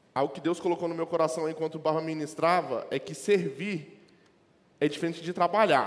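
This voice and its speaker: A man with a plain, everyday voice speaks at a fairly quick pace. His pitch is fairly high and his intonation fairly even. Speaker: lay preacher. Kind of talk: sermon.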